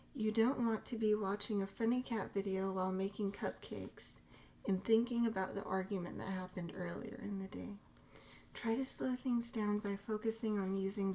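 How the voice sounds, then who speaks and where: A soft-spoken woman whispers. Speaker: ASMR creator. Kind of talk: ASMR reading and teaching. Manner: whispered, soft-spoken.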